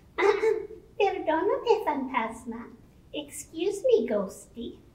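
A woman uses a cartoonish character voice at an extremely high pitch. She speaks at a very slow pace with very wide pitch swings. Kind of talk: children's bilingual puppet show. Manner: upbeat, confident.

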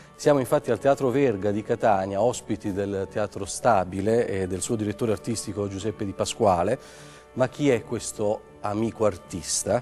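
A man's fairly low voice at a moderate pace with hardly any pauses, over faint music in the background. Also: ordinary pitch variation. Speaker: TV interviewer. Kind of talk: TV interview questions. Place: stage. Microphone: lapel.

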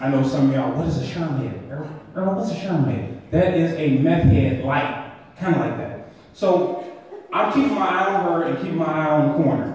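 Strong room echo and light background noise surround the voice. The pace is moderate, and the pitch varies in an ordinary way. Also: man, fairly high pitch for a man. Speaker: comedian. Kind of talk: stand-up comedy set with storytelling, crowd asides and edgy punchlines. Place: stage.

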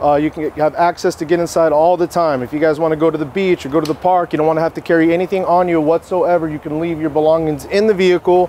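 A man speaks at a very fast pace with hardly any pauses, his high-pitched voice dark and mellow in tone, flat and monotone, in a dry recording with no echo and light background noise. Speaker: car salesman. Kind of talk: product walkaround presentation. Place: street.

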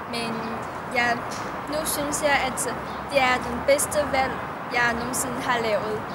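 Over loud background noise, a woman with a Chinese accent talks at a very slow pace, with long, frequent pauses. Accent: Chinese-accented Danish. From China. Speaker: university student. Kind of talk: personal tribute. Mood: warm, smiling, a bit shy. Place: garden. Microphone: camera far.

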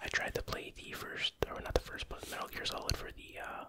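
A soft-spoken voice whispers over noticeable background noise. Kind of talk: casual collection showcase commentary. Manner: soft ASMR whisper.

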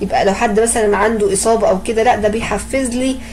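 With an Egyptian accent, a woman talks in a fairly high pitch and a monotone, flat intonation, with audible room echo and noticeable background noise. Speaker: pharmacology lecturer. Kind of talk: lecture. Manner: conversational, with frequent fillers.

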